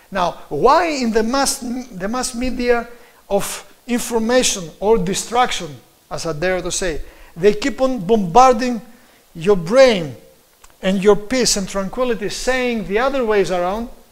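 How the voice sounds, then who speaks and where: A man with a Greek accent and a high pitch speaks at a fairly slow pace, using ordinary pitch variation. Noticeable background noise and audible room echo fill the recording. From Greece. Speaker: preacher. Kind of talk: sermon. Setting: live stream.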